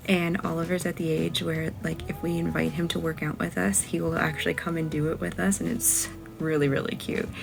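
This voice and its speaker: A woman speaks quietly. There is noticeable background noise behind her. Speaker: lifestyle vlogger. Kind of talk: casual vlog talk. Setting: at home.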